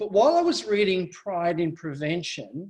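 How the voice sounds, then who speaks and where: A man with an Australian accent speaks at a fairly slow pace, using a high pitch with ordinary variation. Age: 60s. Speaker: family violence survivor advocate. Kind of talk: speech. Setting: webinar.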